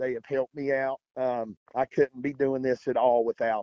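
Speaking in an Appalachian accent, a man keeps a moderate pace. His medium-pitched voice stays monotone and flat. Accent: Appalachian American. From West Virginia. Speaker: kayak fishing tournament angler. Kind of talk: interview.

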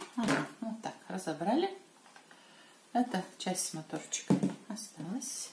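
A woman talks at a very slow pace and medium pitch, with long, frequent pauses. Her intonation is lively over loud background noise. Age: old. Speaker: retired grandmother blogger. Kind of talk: casual product review to camera. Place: kitchen. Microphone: camera far.

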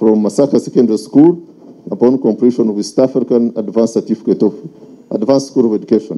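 The man's tone is dark and mellow. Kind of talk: eulogy reading. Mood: solemn, measured. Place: tent. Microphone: handheld.

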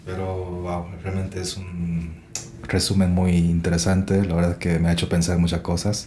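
There is audible room echo and noticeable background noise as a man speaks at a moderate pace in a very deep, low pitch with monotone, flat intonation. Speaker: podcast host, musician and mastering engineer. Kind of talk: casual interview.

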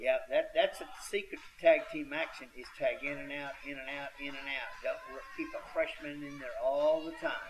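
A man talks with hardly any pauses, his loudness swinging widely. Noticeable background noise sits behind him. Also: moderate pace. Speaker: wrestling commentator. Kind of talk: live wrestling commentary. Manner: folksy, halting, stop-start analysis.

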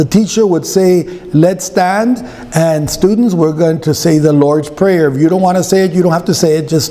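A man speaks in a normal speaking voice, fairly high in pitch, at a moderate pace with very even loudness. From US Southwest (Arizona). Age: 60s. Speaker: pastor. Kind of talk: sermon. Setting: church. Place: church. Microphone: podium.

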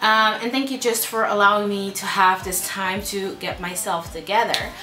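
With noticeable background noise around her, a woman talks at a moderate pace and ordinary pitch variation. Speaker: beauty vlogger. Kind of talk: casual vlog chat. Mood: warm, a bit somber at first. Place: home room.

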